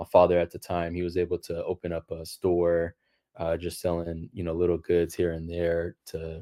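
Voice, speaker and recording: A man's very deep, low voice with a Los Angeles accent, flat monotone delivery, and a moderate pace. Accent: American English, Los Angeles. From US West Coast, Los Angeles. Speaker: engineering professor. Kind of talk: interview. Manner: hesitant, with fillers and repeats.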